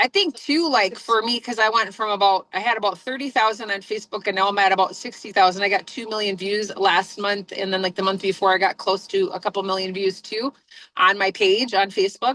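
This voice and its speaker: A woman speaks loudly, with hardly any pauses. Her tone is bright and sharp, and the sound is dry and close with no echo. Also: medium pitch for a woman, fairly even intonation, fairly quick pace. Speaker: reverend and online business coach. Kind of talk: casual group discussion. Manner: loud, projecting; fast, full of fillers.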